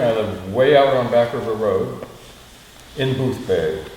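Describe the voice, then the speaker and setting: A man speaks at a very slow pace. Audible room echo and noticeable background noise surround his voice. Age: 70s. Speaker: community meeting participant. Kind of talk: group discussion.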